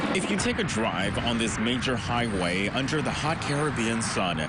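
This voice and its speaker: Over noticeable background noise, a man at medium pitch speaks at a moderate pace with lively intonation and very even loudness. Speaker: television news reporter. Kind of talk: broadcast news reporting, live field reports.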